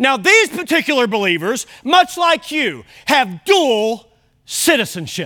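A man's raised, projected voice, extremely high in pitch with a bright, sharp tone and very wide pitch swings, at a fairly slow pace. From Kentucky. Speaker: pastor. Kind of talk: sermon. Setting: church.

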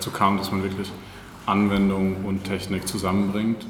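Amid noticeable background noise and audible room echo, a man with a fairly low pitch speaks at a moderate pace in a monotone, flat intonation. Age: 20s. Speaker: city administration IT employee. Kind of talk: casual interview.

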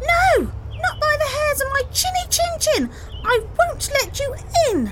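A woman puts on a squeaky character voice at an extremely high pitch, speaking at a fairly slow pace. Background noise is noticeable. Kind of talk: storybook, theatrical. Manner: squeaky, indignant, defiant.

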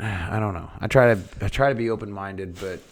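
A man with a Midwestern American accent. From Iowa, US Midwest. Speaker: podcast co-host. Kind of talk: casual chat.

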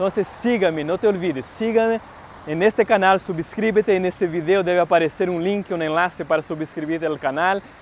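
A man with a Brazilian accent talks at a fairly quick pace, his pitch high and his intonation fairly even. Noticeable background noise runs behind him. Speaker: entrepreneur and motivational podcaster. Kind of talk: motivational talk.

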